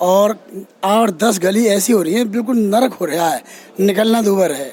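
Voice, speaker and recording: A man with a high pitch and ordinary pitch variation keeps a moderate pace while noticeable background noise plays. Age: 60s. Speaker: local election candidate. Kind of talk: interview.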